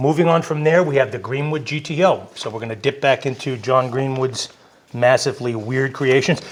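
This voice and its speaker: There is noticeable background noise. A man speaks at medium pitch with ordinary pitch variation. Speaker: car enthusiast video host. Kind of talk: casual video presentation. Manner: fast.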